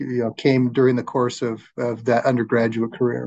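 A man's unremarkable speaking voice, medium in pitch, at a fairly quick pace. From Arizona, Flagstaff. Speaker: law society chapter chair, podcast interviewer. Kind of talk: interview.

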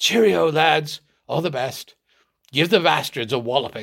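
A man puts on a raspy character voice at a fairly high pitch. He speaks at a moderate pace. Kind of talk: cheerful, encouraging.

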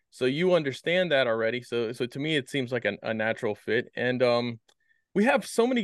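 Here is a normal speaking voice, from a man with a fairly high pitch. His intonation is lively, and the background is quiet. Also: dry, close sound with no echo. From US East Coast (Maryland). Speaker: podcast host. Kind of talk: casual chat.

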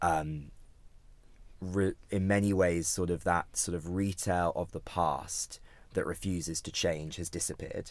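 A man with a British accent speaks at a fairly slow pace with a very deep, low pitch. His intonation is monotone and flat, on a very clean recording with a silent background. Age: 30s. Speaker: startup founder and CEO. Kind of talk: interview.

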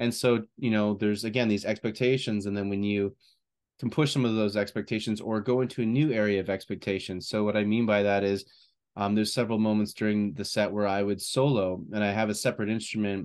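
A man's fairly low voice at a very fast pace against a quiet background. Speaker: podcast co-host. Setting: video podcast recording. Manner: enthusiastic, chatty.

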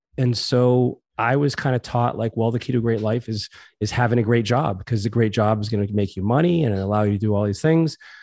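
Here is a man with a normal speaking voice and an American accent, at a medium pitch. He talks at a fairly quick pace with hardly any pauses, in a very clean recording with a silent background. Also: ordinary pitch variation. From Massachusetts, US. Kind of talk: interview. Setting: home living room.

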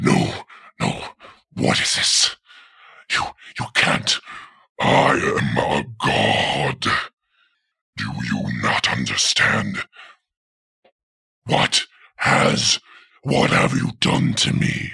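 A man does a put-on character voice that is raspy. He speaks at a very slow pace with long, frequent pauses. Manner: roaring, arrogant, then panicked.

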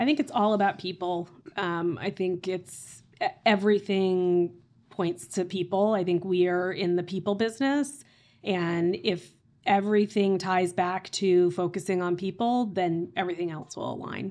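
A woman with an American accent speaks at a moderate pace and a medium pitch with ordinary pitch variation, in an ordinary speaking voice. The background is quiet. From Oklahoma, US. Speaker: real estate executive. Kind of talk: interview conversation.

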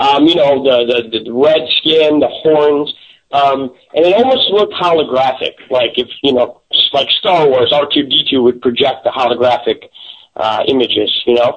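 With an American accent, a man speaks in a normal speaking voice at a fairly slow pace. His pitch is fairly high, with ordinary pitch variation. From US Midwest, Chicago. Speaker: paranormal investigator. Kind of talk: interview on radio show.

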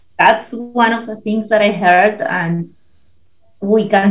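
With a Spanish accent, a woman speaks in a somewhat breathy voice. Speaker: podcast guest relocating abroad. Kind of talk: casual interview chat.

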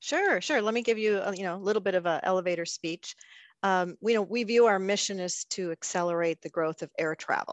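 An ordinary speaking voice moves at a fairly quick pace with ordinary pitch variation. The sound is dry and close with no echo, against a quiet background. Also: woman, medium pitch for a woman. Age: 60s. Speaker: travel industry executive. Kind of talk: interview.

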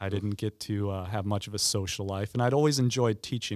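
In an ordinary speaking voice, a man talks at a fairly quick pace and fairly low pitch with fairly even intonation. The sound is dry and close with no echo, on a very clean recording with a silent background. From Indiana, partly raised in Ireland. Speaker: teacher and former lawyer. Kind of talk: casual interview.

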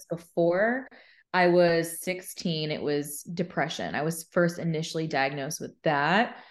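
Against a quiet background, a woman with an American accent speaks in a normal speaking voice at a fairly low pitch, with ordinary pitch variation and a fairly slow pace. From Arizona. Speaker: mental health podcaster and speaker. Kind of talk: interview. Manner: casual, filler-heavy.

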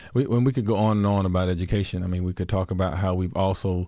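Over a quiet background, a man speaks at a very fast pace. His voice is very deep and low, with a dark, mellow tone. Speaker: podcast co-host for a blindness advocacy organization. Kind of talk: casual chat and interview. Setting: studio. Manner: upbeat, animated.

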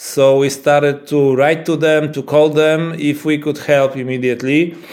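Amid noticeable background noise, a man with a Polish accent speaks at a fairly slow pace in a fairly high, monotone voice with flat intonation. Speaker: epileptologist. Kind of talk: interview. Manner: halting.

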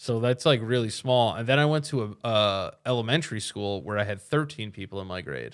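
This man has an unremarkable speaking voice, pitched in the medium range, with ordinary pitch variation. He talks at a fairly quick pace with hardly any pauses. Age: 30s. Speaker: comedian. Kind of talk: casual chat.

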